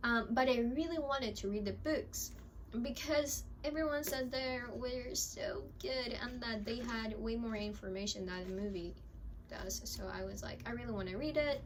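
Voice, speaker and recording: Speaking at a moderate pace with lively intonation, a woman is heard amid audible room echo. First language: not English (Spanish third language). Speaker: book vlogger. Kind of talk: casual chat. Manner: rambling, hesitant.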